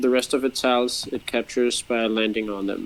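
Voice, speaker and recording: A man's medium-pitched voice with a non-native accent, at a moderate pace. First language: not English. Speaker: game designer. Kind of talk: casual chat. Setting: online stream.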